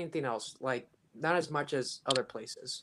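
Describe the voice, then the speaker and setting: A man with an American accent and a plain, everyday voice speaks at a moderate pace in a fairly high pitch with ordinary pitch variation, on a very clean recording with a silent background. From Washington State. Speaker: viewer asking questions. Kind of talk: casual questions on live stream. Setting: call into live stream.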